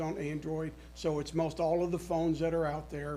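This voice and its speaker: A man speaks loudly in a high pitch. Audible room echo surrounds his voice. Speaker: sales presenter. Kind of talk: sales pitch. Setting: city council meeting. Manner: halting.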